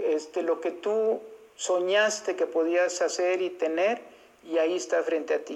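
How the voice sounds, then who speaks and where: A woman's medium-pitched voice at a fairly slow pace, fairly even in intonation, over noticeable background noise. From Mexico, Irapuato, Guanajuato. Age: 60s. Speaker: foundation director. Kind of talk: testimony.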